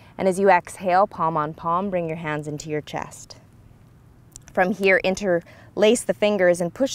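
A woman speaks at a moderate pace with a fairly low pitch. Her intonation is fairly even, and the sound is dry with no echo. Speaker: yoga instructor. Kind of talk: guided yoga instruction. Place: open country.

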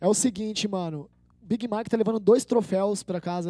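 A man with a dark, mellow tone speaks fairly quickly and fairly evenly, and the sound is dry with no echo. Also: quiet background. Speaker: event host. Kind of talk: casual hosting banter. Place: studio. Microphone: handheld.

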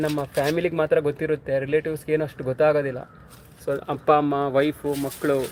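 The speaker is a man with a fairly high pitch. His intonation is flat and monotone. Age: 30s. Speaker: soldier and fitness vlogger. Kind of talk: casual live stream chat.

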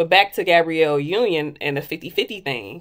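A woman speaks in a very deep, low voice against a quiet background. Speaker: lifestyle vlogger. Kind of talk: casual monologue. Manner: animated. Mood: candid, reflective. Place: home room. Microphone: phone near.

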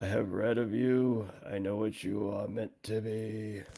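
A hoarse, put-on character voice from a man, fairly low in pitch, monotone and flat, at a fairly slow pace with a solemn tone. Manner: slow, solemn.

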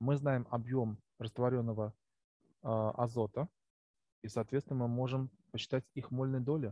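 This man speaks at a fairly slow pace, medium in pitch, with fairly even intonation. The sound is dry and close, with no echo. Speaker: chemistry teacher. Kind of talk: lecture. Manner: halting. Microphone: poor recording quality.

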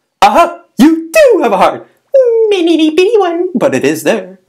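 At a moderate pace, a put-on character voice speaks in an extremely high pitch. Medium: dub. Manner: upbeat, teasing.

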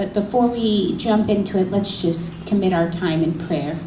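The pace is moderate, and there is noticeable noise in the background. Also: woman. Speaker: pastor. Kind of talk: sermon. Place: church. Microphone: handheld.

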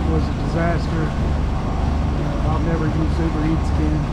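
Against loud background noise, a man talks at a fairly slow pace. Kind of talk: casual vlog chat. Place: boat. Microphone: phone near.

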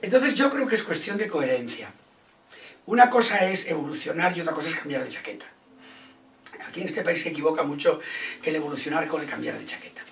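A man speaks very fast at a high pitch, with very wide pitch swings and big swings in loudness. Long, frequent pauses break up his speech over light background noise. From Ourense, Galicia, Spain. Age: 60s. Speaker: comedian and actor. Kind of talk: interview answer. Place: home room.

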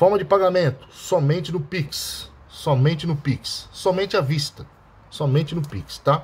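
A man talks at a fairly slow pace in a high pitch. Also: ordinary pitch variation. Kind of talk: street-seller-style sales pitch. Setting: video to camera, showing the bottle. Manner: pushy, hard-sell urgency with stock and deadline pressure.

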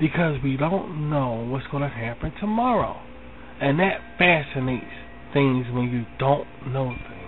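A man with an American accent speaks at a fairly slow pace in a fairly high pitch. Noticeable background noise and audible room echo fill the recording. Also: ordinary pitch variation. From Philadelphia, US. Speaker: online talk show host. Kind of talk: spiritual monologue. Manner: repetitive, conversational.

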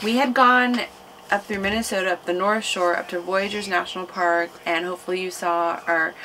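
A woman talks at a moderate pace with ordinary pitch variation. Light background noise is present. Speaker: travel vlogger. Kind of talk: casual vlog chat. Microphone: camera far.

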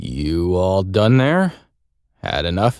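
Putting on a character voice, a man rumbles in a very deep, low register with lively intonation. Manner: laconic, reluctant, grumbling.

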